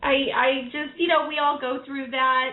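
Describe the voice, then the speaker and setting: The voice is loud and moves at a moderate pace. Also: woman. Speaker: tarot reader radio host. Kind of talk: call-in radio show. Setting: live radio show with callers. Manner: loud and boisterous.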